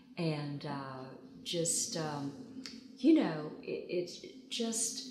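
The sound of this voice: Strong room echo surrounds a woman speaking at a very slow pace with a low pitch, a slightly mellow tone and lively intonation.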